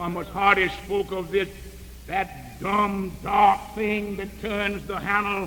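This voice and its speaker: Over noticeable background noise, a man with an American accent speaks very slowly in a raised, projected voice, his high pitch held in a monotone, flat intonation. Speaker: preacher. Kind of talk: sermon.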